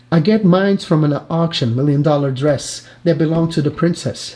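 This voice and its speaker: Speaking with a non-native accent, this man's voice sits fairly high in pitch. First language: not English. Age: 30s. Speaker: reaction youtuber. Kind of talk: live reaction commentary. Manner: halting.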